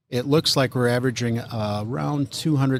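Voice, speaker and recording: An unremarkable speaking voice with an American accent moves at a fairly quick pace. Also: man. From Minnesota. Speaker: car club president. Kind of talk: interview. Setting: on location at event.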